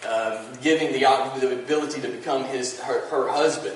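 A man at a moderate pace, with audible room echo and light background noise. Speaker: pastor. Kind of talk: sermon. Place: church.

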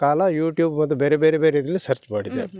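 Speaking in an ordinary speaking voice with a fairly high pitch, a man is heard on a very clean recording with a silent background. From Dakshina Kannada, Karnataka (Sullia taluk). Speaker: retired soldier turned farmer. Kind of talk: interview. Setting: outdoors on farm.

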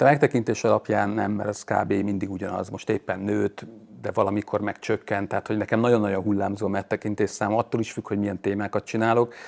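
Very fast and with hardly any pauses, a man talks in a flat monotone at a fairly low pitch. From Hungary. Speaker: YouTuber on electric cars. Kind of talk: casual chat. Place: garage. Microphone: lapel.

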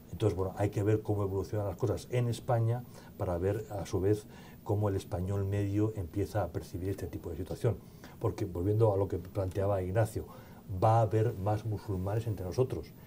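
A man with a dark, mellow, somewhat breathy voice speaks fairly quickly at a fairly low pitch with ordinary pitch variation over light background noise. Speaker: event moderator. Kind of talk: Q&A moderation. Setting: conference hall with audience. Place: hall. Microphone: podium.

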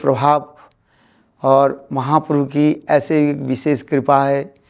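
Very slow speech from a man with a fairly high pitch, over a quiet background. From West Bengal, India. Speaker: preacher. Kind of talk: interview on religious teaching. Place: home room.

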